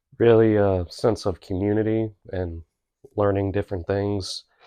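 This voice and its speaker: A man speaks quietly at a moderate pace. His intonation is monotone and flat. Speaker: podcast guest, host's husband. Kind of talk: casual interview. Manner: brief answers.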